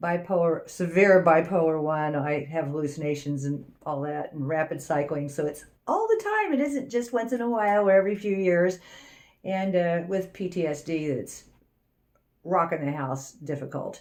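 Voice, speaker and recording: A woman speaks at a moderate pace in a fairly low pitch with ordinary pitch variation, an ordinary speaking voice. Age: 60s. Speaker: astrology channel co-host. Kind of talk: casual chat.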